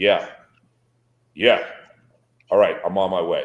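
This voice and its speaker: A man puts on a gruff character voice. He keeps a moderate pace. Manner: curt, brisk.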